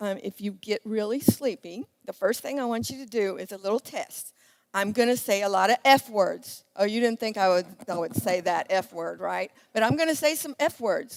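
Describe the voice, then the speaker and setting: An animated tone with lively intonation and big swings in loudness comes at a moderate pace, with a dry, close sound and no echo. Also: woman, fairly high pitch for a woman. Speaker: ladies' day speaker, school teacher. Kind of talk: church event talk to women.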